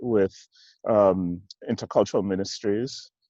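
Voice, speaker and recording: In a slight Jamaican accent, a man speaks at a fairly slow pace with a fairly low pitch and monotone, flat intonation, the sound dry and close with no echo against a quiet background. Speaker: church executive minister. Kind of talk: interview. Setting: video call from outdoors in a park. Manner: halting.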